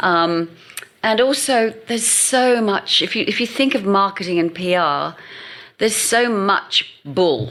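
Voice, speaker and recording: Over noticeable background noise, a woman with an English accent speaks at a fairly slow pace and medium pitch, with lively intonation and very even loudness. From England. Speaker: marketing agency founder. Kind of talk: podcast interview.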